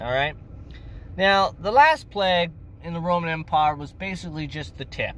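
At a moderate pace, a man speaks with a dry sound and no echo over light background noise. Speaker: amateur history narrator. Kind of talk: casual vlog history talk. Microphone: phone near.

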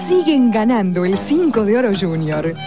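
A woman at a fairly slow pace with very wide pitch swings, dry with no echo, clear music in the background. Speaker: announcer. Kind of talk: TV commercial read. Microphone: old recording.

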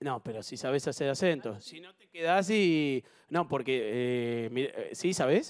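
Speaking fairly slowly with light background noise, a man has an unremarkable speaking voice, a fairly high pitch, lively intonation and big swings in loudness. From Argentina. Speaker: TV game show host. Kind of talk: live TV game show hosting. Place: studio. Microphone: handheld.

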